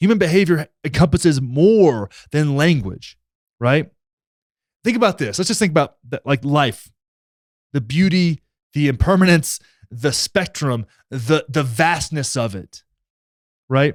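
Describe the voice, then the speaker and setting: The speaker has an American accent, lively intonation and an animated tone at a fairly slow pace. Pauses come long and often, and the sound is dry and close with no echo. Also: man, fairly high pitch for a man. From Texas. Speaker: political commentary YouTuber. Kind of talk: reaction commentary on clips. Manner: casual, animated.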